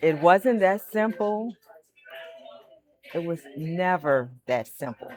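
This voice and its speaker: Against music in the background, a woman at a medium pitch lets her voice swing very widely. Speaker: storyteller, stuttering awareness speaker. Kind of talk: reflective personal storytelling to camera.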